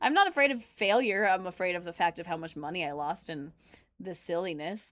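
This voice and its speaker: Loud and animated in tone, a woman with an American accent talks at a fairly quick pace with lively intonation. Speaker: livestreamer reacting to videos, former restaurant nurse mascot. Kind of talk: casual livestream chat reading chat messages.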